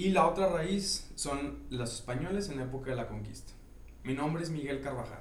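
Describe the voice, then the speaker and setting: At a moderate pace, a man talks in an unremarkable speaking voice pitched fairly high, with ordinary pitch variation. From northern Mexico, Monterrey. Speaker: craft brewer. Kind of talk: casual chat.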